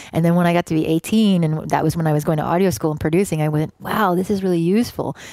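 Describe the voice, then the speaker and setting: A woman with a Canadian accent and a fairly low pitch, at a very fast pace with very even loudness and ordinary pitch variation, over noticeable background noise. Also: hardly any pauses. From Canada. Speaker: music producer and rapper. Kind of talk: casual interview chat.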